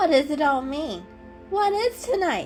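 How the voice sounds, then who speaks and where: A squeaky, put-on character voice swings very widely in pitch at a moderate pace. Clear music plays in the background. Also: woman. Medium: read story. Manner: snippy, defensive.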